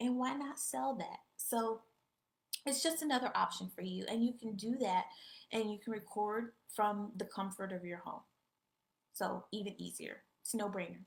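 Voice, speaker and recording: A woman's fairly high, somewhat breathy voice with long, frequent pauses. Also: ordinary pitch variation, moderate pace. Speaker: online business coach. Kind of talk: live-streamed lesson. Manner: casual, conversational.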